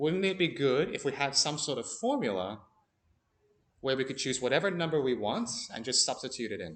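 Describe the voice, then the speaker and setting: Medium-pitched male voice at a fairly quick pace, very wide pitch swings, audible room echo. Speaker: maths teacher. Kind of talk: classroom lesson. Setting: classroom.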